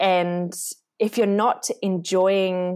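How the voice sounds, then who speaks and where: A woman with an Australian accent speaks at a very slow pace in a fairly low pitch with monotone, flat intonation. The recording is very clean with a silent background. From Australia, rural northern New South Wales. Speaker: marketing employee. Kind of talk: interview.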